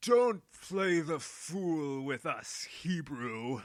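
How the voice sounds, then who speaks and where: Putting on a character voice, a man speaks very slowly at a fairly high pitch with lively intonation. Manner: aggressive, demanding.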